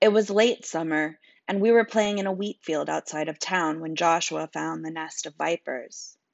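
A woman's put-on character voice, raspy and fairly low in pitch, at a moderate pace. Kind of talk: casual audiobook reading. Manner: wry, conversational.

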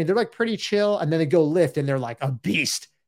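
A man with a fairly high pitch and ordinary pitch variation is heard in a very clean recording against a silent background. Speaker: fitness coach and podcast host. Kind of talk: solo podcast monologue. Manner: intense.

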